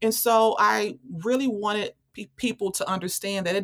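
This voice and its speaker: A woman with an American accent, medium in pitch, at a moderate pace, with ordinary pitch variation and an unremarkable speaking voice. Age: 40s. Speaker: author and activist. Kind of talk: interview.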